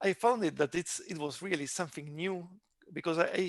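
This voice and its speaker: A man with an Argentine accent speaks in a fairly even intonation, the sound dry and close with no echo over a quiet background. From Argentina. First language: Spanish. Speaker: tech company CEO. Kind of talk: interview. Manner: halting.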